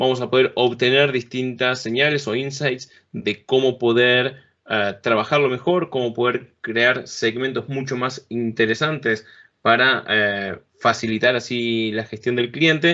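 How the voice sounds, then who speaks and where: A man talks at a fairly slow pace with fairly even intonation. He has an ordinary speaking voice at medium pitch. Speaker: conference speaker on business software. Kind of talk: technical presentation. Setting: remote talk at a conference event.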